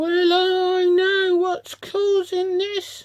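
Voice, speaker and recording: A quiet, squeaky put-on character voice from a woman, extremely high-pitched and monotone with flat intonation. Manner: hushed.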